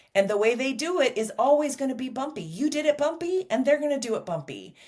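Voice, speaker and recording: A woman with an ordinary speaking voice, lively intonation and a fairly quick pace. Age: 60s. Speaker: sex therapist. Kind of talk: interview.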